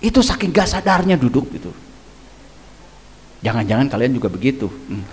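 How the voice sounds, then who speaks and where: A man talks at a very fast pace with very wide pitch swings, and audible room echo surrounds his voice. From Indonesia, Garut (West Java). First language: Sundanese (speaking Indonesian). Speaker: Islamic spiritual teacher. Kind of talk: religious study lecture. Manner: conversational, interactive with audience.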